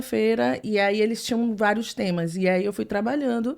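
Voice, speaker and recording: At a moderate pace, a woman speaks at a fairly high pitch on a very clean recording with a silent background. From Brazil, Salvador, Bahia. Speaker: translator. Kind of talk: casual chat.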